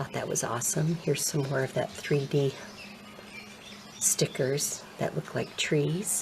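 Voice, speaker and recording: A soft-spoken woman with a very deep, low pitch talks over noticeable background noise. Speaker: ASMR creator. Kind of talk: soft-spoken ASMR show and tell.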